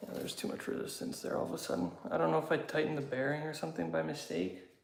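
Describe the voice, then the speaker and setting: At a very fast pace, a speaker with a Canadian accent makes very wide pitch swings, with audible room echo and noticeable background noise. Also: man, fairly high pitch for a man. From Canada, southwestern Ontario. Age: 30s. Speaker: YouTuber, motorcycle hobbyist. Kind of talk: casual live chat. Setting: garage. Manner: hesitant, many fillers.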